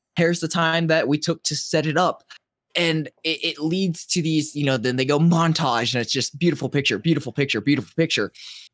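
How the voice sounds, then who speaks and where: In a normal speaking voice, the speaker moves at a fairly quick pace with ordinary pitch variation and a dry, close sound with no echo. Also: man, fairly high pitch for a man. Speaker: podcast co-host. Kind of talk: casual chat.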